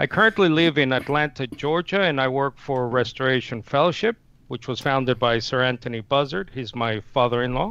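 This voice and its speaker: In a bright, sharp tone, a man talks at a fairly quick pace with ordinary pitch variation, the sound dry with no echo. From Nicaragua. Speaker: Unitarian debater and channel manager; debater. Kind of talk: formal debate. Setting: video call. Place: home room. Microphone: headset.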